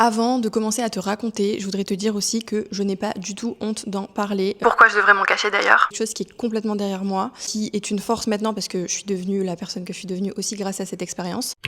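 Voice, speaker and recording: A woman at medium pitch, very fast and with hardly any pauses, in a monotone, flat intonation over noticeable background noise. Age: 30s. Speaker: vlogger sharing personal story. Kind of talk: personal testimony. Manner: hesitant, many fillers.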